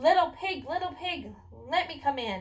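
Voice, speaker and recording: Putting on a squeaky character voice, a woman talks at a moderate pace in an extremely high pitch. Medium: read story. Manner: threatening.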